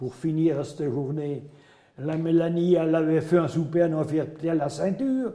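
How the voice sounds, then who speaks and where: Over noticeable background noise, a man with a Berry accent talks at a moderate pace in a fairly high pitch. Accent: Berrichon. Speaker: storyteller. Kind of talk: folk tale told in regional dialect.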